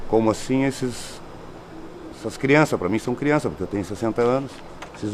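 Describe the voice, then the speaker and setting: Speaking at a fairly quick pace, a man with a medium pitch and ordinary pitch variation comes through over noticeable background noise. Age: 60s. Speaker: inmate, ex-drug user. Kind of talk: testimony.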